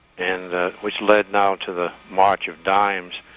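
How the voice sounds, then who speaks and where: A man's voice with noticeable background noise. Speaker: caller. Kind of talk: call-in question.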